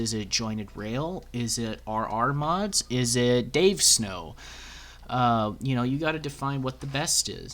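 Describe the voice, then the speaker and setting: This man's voice carries ordinary pitch variation. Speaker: YouTube content creator and 3D train modeler. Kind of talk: commentary monologue. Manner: hesitant, many fillers.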